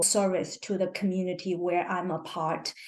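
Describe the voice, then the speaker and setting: The speaker has a Chinese accent and talks at a fairly slow pace. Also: woman. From China. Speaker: cancer researcher and health equity advocate. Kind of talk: podcast interview. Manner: halting.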